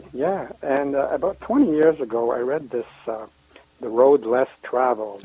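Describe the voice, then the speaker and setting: A man's medium-pitched voice at a very slow pace with hardly any pauses, ordinary pitch variation and noticeable background noise. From lives in Canada. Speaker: guest contributor, climate blogger.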